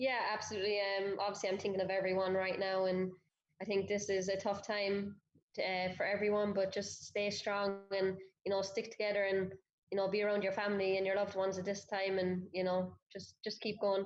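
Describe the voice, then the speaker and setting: A woman with an Irish accent, medium pitch, flat monotone intonation and a fairly quick pace. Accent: Irish accent, noticeable. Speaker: professional footballer. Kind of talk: interview.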